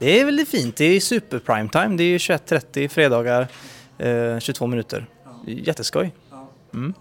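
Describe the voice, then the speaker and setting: With a dry, close sound and no echo, a man at a fairly high pitch moves at a moderate pace, swinging his pitch very widely and leaving long, frequent pauses. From western Sweden, Uddevalla. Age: 30s. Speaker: TV presenter and YouTuber. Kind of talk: casual interview.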